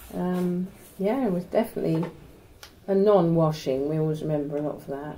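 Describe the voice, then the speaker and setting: In a Norfolk accent, a woman talks fairly quickly with a fairly low pitch and ordinary pitch variation. Background noise is noticeable and there is audible room echo. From Norwich, Norfolk, England. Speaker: retired university secretary. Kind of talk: oral history interview.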